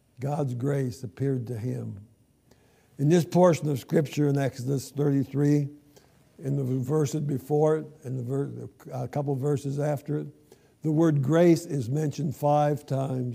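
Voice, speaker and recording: A man talks fairly slowly at a fairly high pitch, somewhat breathy, with a dark, mellow tone. His intonation stays fairly even. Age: 80s+. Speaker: guest preacher. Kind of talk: sermon. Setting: church.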